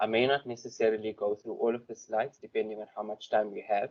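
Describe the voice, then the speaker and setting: A soft-spoken man talks with a dry, close sound and no echo. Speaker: forensic investigations lawyer. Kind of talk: conference presentation. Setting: stage with audience.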